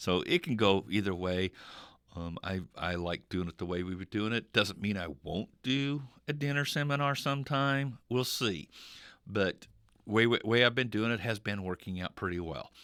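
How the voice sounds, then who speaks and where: In a very clean recording with a silent background, a man with a fairly low pitch speaks at a moderate pace with lively intonation. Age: 60s. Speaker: radio host and insurance agent. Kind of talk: casual radio talk. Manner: halting, many fillers and repeats.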